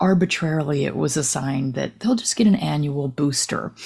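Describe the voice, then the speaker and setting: The speaker has an American accent and a dark, mellow tone with vocal fry, lively intonation and a moderate pace. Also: woman. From New Jersey. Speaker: retired veterinarian. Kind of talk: interview conversation.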